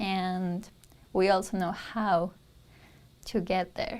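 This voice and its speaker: A woman speaks at a medium pitch with a Spanish accent. Her pace is very slow. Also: very clean recording, silent background. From Peru. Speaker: university student. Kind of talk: interview testimonial.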